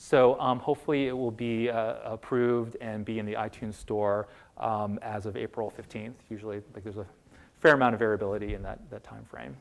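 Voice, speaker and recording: A man at a medium pitch, fairly quick in pace, with fairly even intonation and big swings in loudness. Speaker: lecturer on medical apps. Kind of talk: audience Q&A. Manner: fast.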